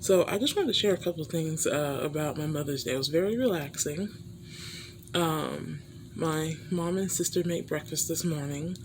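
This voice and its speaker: Whispering is carried at a moderate pace. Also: woman. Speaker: vlogger. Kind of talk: casual vlog. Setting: home hospital bed.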